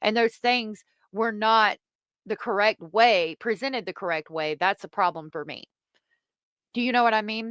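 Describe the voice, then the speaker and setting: Speaking with a Southern accent, a woman uses a fairly high pitch and ordinary pitch variation at a moderate pace, with long, frequent pauses. The sound is dry and close with no echo. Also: very clean recording, silent background. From US South. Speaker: streamer commenting on online drama. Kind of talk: live stream commentary reading chat. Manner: casual, halting.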